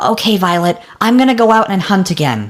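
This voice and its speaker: A cartoonish character voice, female-sounding, at a middle pitch and a fairly quick pace. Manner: dry, weary.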